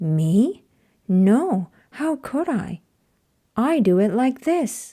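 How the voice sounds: A woman puts on a character voice, fairly high with a slightly husky edge and a dark, mellow tone, swinging widely in pitch at a very slow pace.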